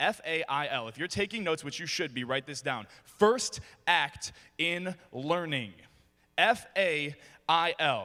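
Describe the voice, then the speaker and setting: A man with an American accent speaks fairly slowly in an animated, bright, sharp tone, with a fairly high pitch and lively intonation, on a very clean recording with a silent background. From US Midwest, Detroit, Michigan. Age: 20s. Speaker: motivational speaker. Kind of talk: motivational speech. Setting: stage with audience.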